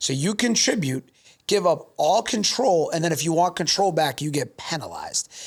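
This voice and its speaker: A man speaks loudly at a moderate pace, his pitch high. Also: lively intonation. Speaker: podcast host and business owner. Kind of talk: casual interview chat. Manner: loud and opinionated.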